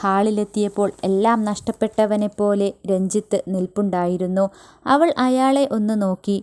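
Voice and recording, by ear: The voice reads aloud in a natural voice. Pitch variation is ordinary.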